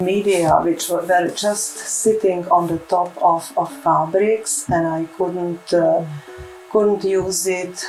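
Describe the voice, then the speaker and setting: A woman speaks very slowly, her fairly low voice held to a fairly even intonation over music in the background. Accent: Czech. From Czechoslovakia. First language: Czech. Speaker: textile artist. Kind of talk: interview. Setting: artist's home studio. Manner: halting, many fillers.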